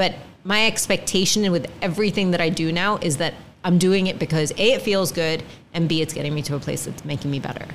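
Very fast speech comes from a woman with a fairly low pitch. Noticeable background noise sits behind her. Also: ordinary pitch variation. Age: 40s. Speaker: podcast guest sharing weight-loss journey. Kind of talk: casual interview. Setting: studio with mics and video.

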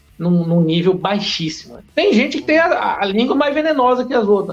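A man keeps a moderate pace, his voice pitched high. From Porto Velho, Rondônia, northern Brazil. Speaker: biologist and bushcraft content creator. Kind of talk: casual podcast interview.

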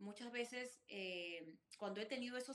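A woman talks at a moderate pace in a fairly high pitch. Her tone is bright and sharp, her intonation fairly even. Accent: Peruvian. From Peru, Chimbote. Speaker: restaurant entrepreneur and author. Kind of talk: interview. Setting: video call.

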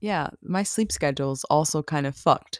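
Vocal fry at a fairly slow pace, with a dry, close sound and no echo. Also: woman. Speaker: YouTuber. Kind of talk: casual vlog monologue. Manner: hesitant, many fillers.

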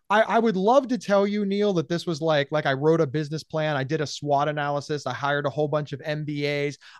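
In a plain, everyday voice, a man with a fairly high pitch uses lively intonation over a quiet background. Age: 40s. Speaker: podcaster and mental health advocate. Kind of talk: interview.

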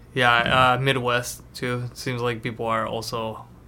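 A man's bright, sharp voice at medium pitch with a Spanish accent, monotone and flat, at a moderate pace, with audible room echo. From Mexico, Tijuana. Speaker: podcast host. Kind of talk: casual chat.

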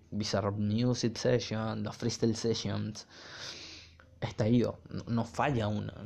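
With a Venezuelan accent, a man speaks at a fairly slow pace, his medium pitch carried in a dark, mellow tone. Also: quiet background. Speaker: podcast host, music reviewer. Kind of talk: casual solo commentary. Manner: animated.

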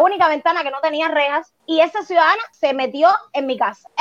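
A woman speaks at an extremely high pitch in a bright, sharp tone with ordinary pitch variation. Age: 30s. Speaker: homeowner making a complaint. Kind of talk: testimony.

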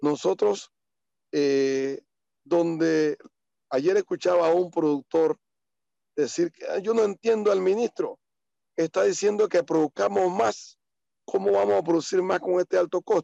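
A man speaks at a high pitch in a dark, mellow tone, slowing to a fairly slow pace. Long, frequent pauses mark his speech, and the sound is dry and close with no echo. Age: 50s. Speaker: farmer. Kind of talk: interview. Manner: halting.

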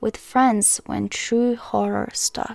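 Her fairly high voice has a dark, mellow tone, and the woman talks at a fairly slow pace. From Croatia. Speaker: podcast host. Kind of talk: casual storytelling monologue; reading aloud.

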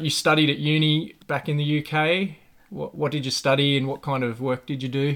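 In an ordinary speaking voice, a man talks at a moderate pace with fairly high pitch and fairly even intonation. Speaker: podcast host. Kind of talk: casual interview chat.

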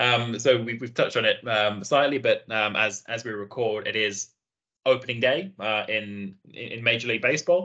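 Speaking with a British accent, a man uses a bright, sharp tone at medium pitch, a moderate pace and ordinary pitch variation. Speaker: podcast host. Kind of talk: interview.

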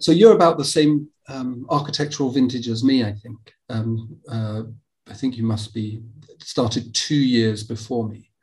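Somewhat breathy and medium in pitch, a man speaks at a moderate pace with ordinary pitch variation and big swings in loudness. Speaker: podcast host and architecture lecturer. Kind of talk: interview.

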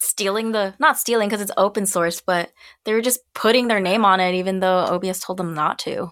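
A woman's unremarkable speaking voice in an American accent, medium in pitch with ordinary pitch variation and a fairly quick pace, on a very clean recording with a silent background. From United States. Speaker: singer and streamer. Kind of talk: casual chat.

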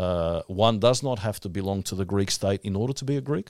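Speaking at a fairly quick pace, a man with an Australian accent uses a fairly low pitch. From Melbourne, Australia. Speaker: podcast host. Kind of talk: casual chat with banter. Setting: studio.

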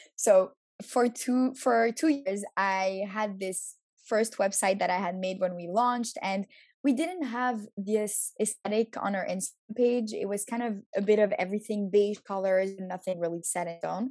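A woman with an ordinary speaking voice: moderate pace, medium pitch, ordinary pitch variation. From Montreal, Canada. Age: 20s. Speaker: social media agency owner. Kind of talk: interview.

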